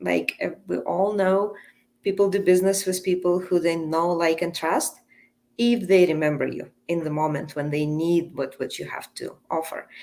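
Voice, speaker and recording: Someone speaks at a moderate pace with a Russian accent. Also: woman. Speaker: coach and entrepreneur. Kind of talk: podcast interview.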